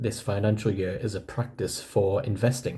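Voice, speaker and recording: In a northeast English accent, a man speaks at a medium pitch with a somewhat breathy, dark, mellow tone and fairly even intonation. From northeast England. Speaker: personal finance vlogger. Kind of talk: casual vlog explanation. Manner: conversational.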